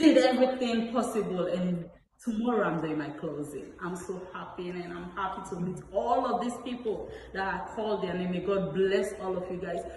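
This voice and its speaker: Background noise is noticeable as a woman talks, and the room gives off an audible echo. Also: medium pitch for a woman, ordinary pitch variation, moderate pace. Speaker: home buyer, client. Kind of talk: testimony. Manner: halting.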